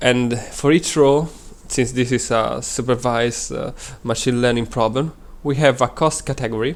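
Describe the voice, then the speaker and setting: Speaking at a moderate pace, a man with an Italian accent keeps his intonation fairly even. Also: medium pitch for a man. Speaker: data science student. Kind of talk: presentation. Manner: halting.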